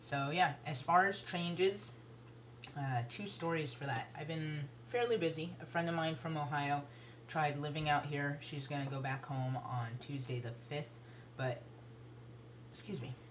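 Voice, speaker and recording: A man with a fairly high pitch and ordinary pitch variation speaks with long, frequent pauses in audible room echo. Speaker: video blogger. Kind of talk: casual vlog update. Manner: hesitant, many fillers.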